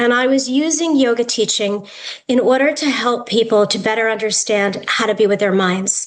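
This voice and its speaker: A woman with an American accent has an ordinary speaking voice, a fairly high pitch and ordinary pitch variation. She talks at a moderate pace with very even loudness. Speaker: yoga therapist and educator. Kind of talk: lecture.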